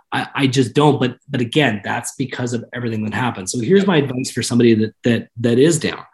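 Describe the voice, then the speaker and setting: Speaking at a very fast pace with hardly any pauses, a man uses a medium-pitched, somewhat breathy voice. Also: ordinary pitch variation. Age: 30s. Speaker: mortgage company executive. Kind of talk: interview.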